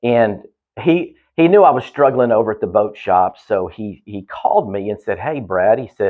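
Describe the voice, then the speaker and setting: A man with a Southeast Texas accent at a medium pitch, moderate pace and lively intonation, with big swings in loudness. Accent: Southeast Texas accent, noticeable. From Southeast Texas, Houston area. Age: 50s. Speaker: quality assurance manager. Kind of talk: podcast interview. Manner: casual, many fillers and restarts.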